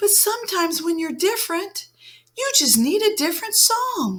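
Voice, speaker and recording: An extremely high, squeaky put-on character voice from a woman, with very wide pitch swings. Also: moderate pace. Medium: read story. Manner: soft, encouraging.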